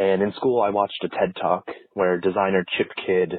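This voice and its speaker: A man's very deep, low voice in an American accent, with fairly even intonation. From Ohio, US. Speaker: graphic designer, listener. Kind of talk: voice message story.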